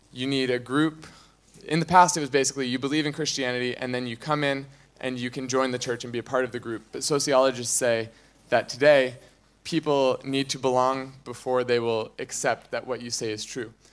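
Here a man with a plain, everyday voice talks at a fairly quick pace, with medium pitch and fairly even intonation. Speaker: youth ministry coordinator. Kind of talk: church announcement talk. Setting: church.

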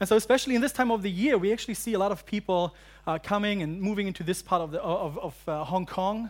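A man with a German accent at a very fast pace, with ordinary pitch variation. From Germany, central German highlands. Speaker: university pastor. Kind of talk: sermon. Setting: church. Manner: halting.

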